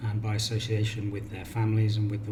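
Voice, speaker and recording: A man's fairly low-pitched voice carries audible room echo. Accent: British. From Cornwall, England. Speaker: counsellor. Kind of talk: self-introduction video.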